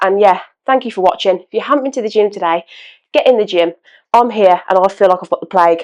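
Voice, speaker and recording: In a British accent, a woman talks very fast. Her voice sits at a medium pitch with ordinary variation. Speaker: fitness content creator. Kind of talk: casual vlog talk.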